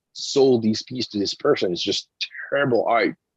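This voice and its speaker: A man with a French accent speaks at a medium pitch and a moderate pace, his intonation fairly even. The sound is dry and close, with no echo. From France. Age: 50s. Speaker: comic book writer and artist. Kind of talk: interview conversation. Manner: halting, many fillers and restarts.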